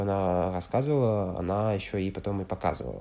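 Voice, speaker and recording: A man with a French accent speaks at a fairly low pitch in a dark, mellow tone. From France, Loire valley. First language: French (speaking Russian). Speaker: exchange student. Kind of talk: interview. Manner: halting, many fillers.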